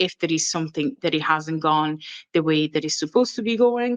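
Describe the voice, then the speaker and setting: Against a quiet background, a woman with an Italian accent speaks at a fairly low pitch in a dry, close sound with no echo. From Italy. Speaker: training and development manager. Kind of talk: conference presentation. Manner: hesitant, many fillers.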